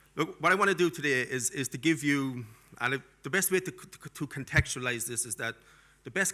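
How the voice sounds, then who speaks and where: With a strong Irish accent, the speaker talks at a fairly quick pace in a bright, sharp tone with lively intonation. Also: man. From Ireland. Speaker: academic keynote speaker. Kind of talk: keynote speech. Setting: conference stage with audience and translators. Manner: energetic.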